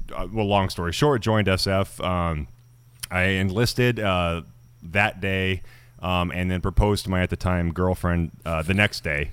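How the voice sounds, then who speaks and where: A man speaks with an American accent at a fairly slow pace. His pitch is very deep and low. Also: fairly even intonation. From Idaho, US. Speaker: actor and army veteran, former firefighter. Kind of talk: casual interview chat.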